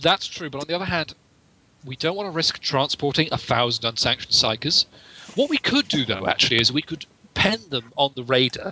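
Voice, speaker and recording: This man has a fairly high pitch and an unremarkable speaking voice, with lively intonation at a fairly quick pace. The sound is dry and close, with no echo. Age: 20s. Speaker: tabletop roleplaying game player. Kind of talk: tabletop game session, casual.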